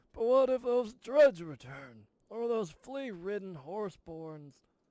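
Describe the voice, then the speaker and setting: Putting on a character voice, a man talks at a fairly slow pace in a high pitch with very wide pitch swings. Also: big swings in loudness. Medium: game stream. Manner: grumbling, stubborn.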